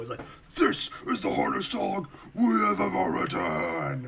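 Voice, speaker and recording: In a put-on character voice, a man speaks with a fairly low pitch and an intense tone. His pace is fairly slow. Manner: dramatically intense.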